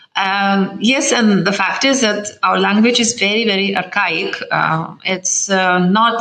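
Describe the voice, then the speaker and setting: Noticeable background noise fills the recording. A woman speaks over it fairly slowly. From Lithuania. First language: Lithuanian. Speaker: ambassador. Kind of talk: interview. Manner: halting.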